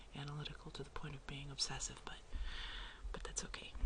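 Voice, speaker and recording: A soft-spoken voice at a fairly quick pace. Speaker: artist. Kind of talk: ASMR soft talking. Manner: casual, rambling.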